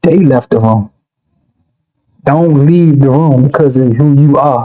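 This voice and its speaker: A soft-spoken, dark, mellow voice with an American accent, at a fairly slow pace, with very even loudness and ordinary pitch variation. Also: man, fairly high pitch for a man. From Washington DC, Southside. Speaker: rapper. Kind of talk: interview.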